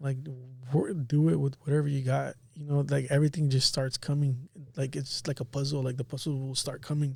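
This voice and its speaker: Somewhat breathy, a man with an American accent and a fairly high pitch speaks with fairly even intonation. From Watsonville, California. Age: 30s. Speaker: barber and entrepreneur. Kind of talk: casual chat.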